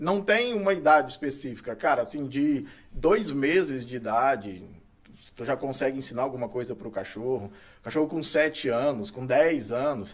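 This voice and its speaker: The speaker moves at a moderate pace. The intonation is lively. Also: man, fairly high pitch for a man. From Brazil, Goiás (Itumbiara). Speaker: dog trainer. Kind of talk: casual interview chat. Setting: studio. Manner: hesitant, filler-heavy.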